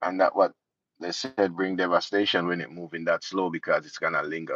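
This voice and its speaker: A man talks at a moderate pace with a Jamaican accent. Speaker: political commentary youtuber. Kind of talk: live stream commentary.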